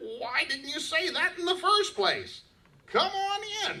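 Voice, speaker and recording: Here is a put-on character voice with an extremely high pitch. It moves at a fairly slow pace. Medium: stage play.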